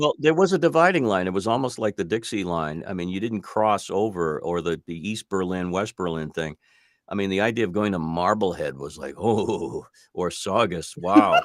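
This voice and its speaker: A man with an American accent uses a normal speaking voice, fairly low in pitch with lively intonation, at a moderate pace in a very clean recording with a silent background. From Boston area, Massachusetts. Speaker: radio broadcaster and voice-over artist. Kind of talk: radio interview answer.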